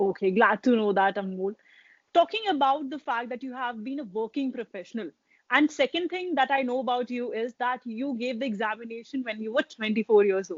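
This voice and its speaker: In an Indian accent, a woman with a high pitch speaks at a fairly quick pace with ordinary pitch variation. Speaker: exam coaching interviewer. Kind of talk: interview. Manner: mixes Hindi and English.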